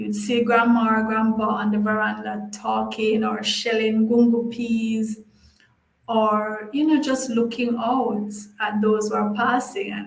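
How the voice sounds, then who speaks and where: With a Jamaican accent, a woman talks at a fairly slow pace, her fairly high pitch held in a flat monotone. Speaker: language teacher. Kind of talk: casual talk to camera. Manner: nostalgic, chatty.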